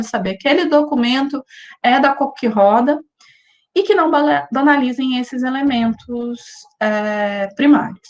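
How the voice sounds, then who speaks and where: The intonation is lively. The pace is moderate. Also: woman. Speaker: university lecturer. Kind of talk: lecture. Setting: video call.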